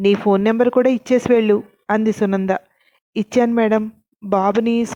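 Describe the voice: This is plain reading aloud with fairly even intonation against a quiet background.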